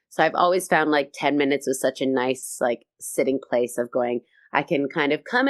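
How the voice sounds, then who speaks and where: A woman with an American accent and an animated tone, at a moderate pace, in a dry, close sound with no echo. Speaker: comedian. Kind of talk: casual interview chat. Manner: animated, high energy.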